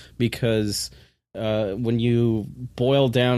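The recording is very clean, with a silent background. It is a plain, everyday voice with fairly even intonation. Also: man. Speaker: podcast host. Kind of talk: casual chat. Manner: laughs often.

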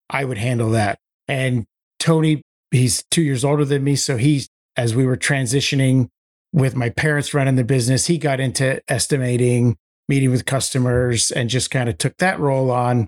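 A man's plain, everyday voice at medium pitch, fairly quick pace, ordinary pitch variation and very even loudness, dry and close with no echo. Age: 40s. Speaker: construction business co-owner. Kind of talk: interview.

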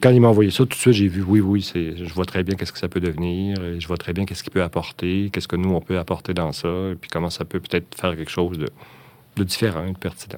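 The speech is very fast. Its intonation stays fairly even. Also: man, very deep, low pitch for a man. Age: 60s. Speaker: puppeteer and artistic director. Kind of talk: interview. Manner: halting.

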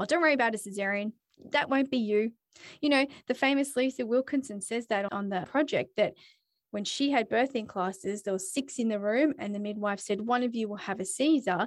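A woman talks at a fairly quick pace with an Australian accent. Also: fairly high pitch for a woman, ordinary pitch variation. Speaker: podcast host. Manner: chatty, animated.

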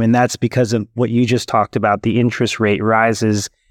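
A man's mid-range voice comes through close and dry, with no echo at all. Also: quiet background. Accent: Californian. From San Francisco Bay Area, California. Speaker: startup founder and CEO. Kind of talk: interview.

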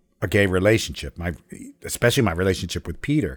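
The man's voice comes through on a very clean recording against a silent background. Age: 60s. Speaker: storyteller and educator. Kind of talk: personal storytelling.

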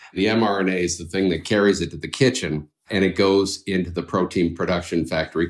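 The pace is fairly quick in an unremarkable speaking voice. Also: man. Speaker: biotech co-founder, former professor. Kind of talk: interview.

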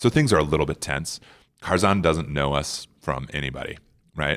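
On a very clean recording with a silent background, a man with an American accent talks at a very fast pace in a very deep, low pitch, with vocal fry. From US Midwest (hockey town, South Dakota). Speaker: war veteran and outdoor adventurer. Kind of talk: casual interview storytelling. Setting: conference center room. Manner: animated.

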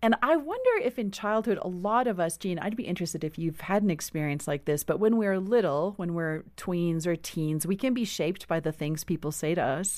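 In a South African accent, a woman with a fairly low pitch talks at a fairly quick pace with hardly any pauses and ordinary pitch variation.

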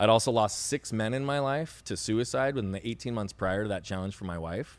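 A loud man at a medium pitch, very fast pace and very wide pitch swings. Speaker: speaker and coach. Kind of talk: interview conversation. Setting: podcast interview. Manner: fast talker, loud.

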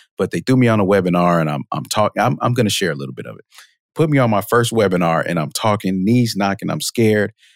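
A man with an ordinary speaking voice and fairly low pitch uses lively intonation and big swings in loudness, in dry, close sound with no echo. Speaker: marketing automation expert. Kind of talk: casual interview. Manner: conversational, fillers.

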